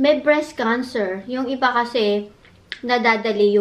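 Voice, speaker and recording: A woman speaks at a fairly slow pace in a high voice, with ordinary pitch variation. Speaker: vlogger. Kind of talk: casual eating vlog chat. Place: home room. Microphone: phone near.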